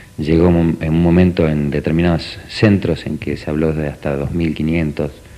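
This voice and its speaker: Noticeable background noise beneath moderately paced speech with fairly even intonation. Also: man. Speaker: parent of transplant patient. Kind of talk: TV interview.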